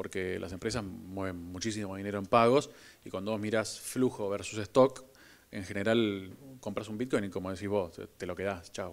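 A man with a Rioplatense accent, fairly low in pitch, at a moderate pace with fairly even intonation. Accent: Argentine Rioplatense Spanish. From Argentina. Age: 40s. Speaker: crypto company executive; guest. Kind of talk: onstage interview at business event. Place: stage. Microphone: handheld.

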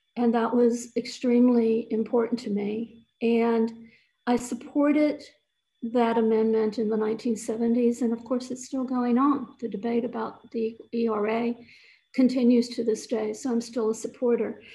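With a fairly high voice, a woman speaks at a fairly slow pace in a dark, mellow tone and monotone, flat intonation. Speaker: event speaker sharing personal history. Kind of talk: personal testimony. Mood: calm, reflective. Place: home room. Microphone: webcam.

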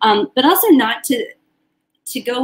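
A woman speaks with an American accent. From New York City suburbs; New York. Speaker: journalist and documentary filmmaker; journalist. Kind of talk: casual interview. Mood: warm, enthusiastic. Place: home room.

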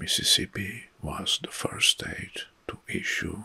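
Very slowly, a man whispers. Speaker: history commentator. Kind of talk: commentary reading historical facts. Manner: soft-spoken ASMR reading voice. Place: home room.

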